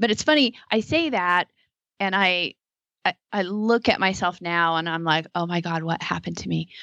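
A woman with a fairly low pitch speaks with ordinary pitch variation, recorded dry and close with no echo against a quiet background. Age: 50s. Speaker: podcast co-host. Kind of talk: casual chat. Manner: halting.

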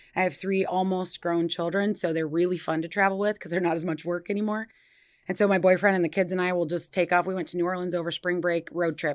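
Recorded very cleanly with a silent background, a woman speaks very fast with a Midwestern American accent. Her pitch is fairly low and her intonation monotone and flat. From Iowa, US Midwest. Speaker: nurse practitioner. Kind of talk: interview.

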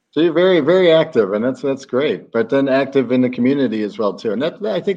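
This man talks at a very fast pace with lively intonation, a dark, mellow tone and an American accent. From Chicago, US Midwest. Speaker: podcast host. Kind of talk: interview.

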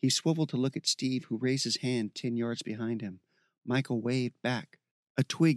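Against a quiet background, an unforced reading voice keeps a fairly even intonation.

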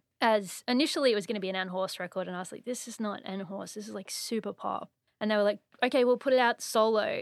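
Australian accent with ordinary pitch variation, in a very clean recording with a silent background. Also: woman. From Australia (Brisbane). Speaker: composer and musician. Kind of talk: casual chat. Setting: studio.

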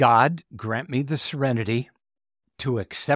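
In a dry, close sound with no echo on a very clean recording with a silent background, a man speaks fairly slowly at a medium pitch in a plain, everyday voice. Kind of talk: prayer reading. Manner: solemn, reverent; slow, earnest.

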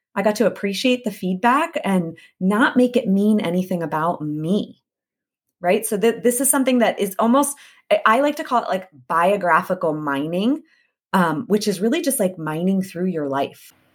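Her pitch sits in the medium range for a woman, swinging very widely as she speaks at a moderate pace. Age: 30s. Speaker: podcast host and life coach. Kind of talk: solo podcast monologue.

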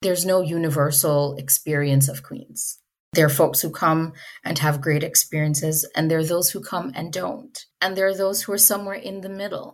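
Somewhat breathy, a woman talks at a moderate pace with a fairly low pitch and ordinary pitch variation. The recording is very clean, with a silent background. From Jamaica. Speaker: alumna and donor. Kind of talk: interview conversation. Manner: thoughtful, hesitant with fillers.

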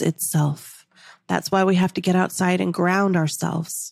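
Recorded very cleanly against a silent background, a woman talks at a moderate pace in a medium pitch with ordinary pitch variation and a dry, close sound with no echo. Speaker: manifestation coach and podcast host. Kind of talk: motivational spiritual coaching monologue with sales pitch; angry rant, fiery and profane, railing against sunscreen and chemtrails. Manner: animated, emphatic, fervent, upbeat; intense, indignant and raised-voice during the rant.

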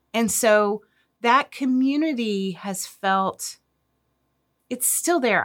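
A woman with lively intonation on a very clean recording with a silent background. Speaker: pastor and parenting podcast host. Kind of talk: casual chat.

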